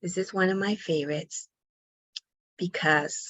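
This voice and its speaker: At a moderate pace, a woman talks with fairly low pitch and fairly even intonation. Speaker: pediatric occupational therapist. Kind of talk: online workshop presentation.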